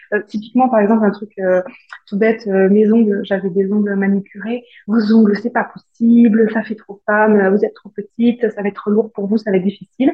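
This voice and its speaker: Speaking at a moderate pace, a woman with a fairly high, somewhat breathy voice keeps a monotone, flat intonation while her loudness swings widely. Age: 30s. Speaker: aircraft painter. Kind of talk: interview.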